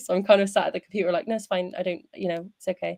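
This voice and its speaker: A woman with a strong Bristolian accent at a very fast pace, in a dry, close sound with no echo. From England, Bristol. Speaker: singer. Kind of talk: casual interview.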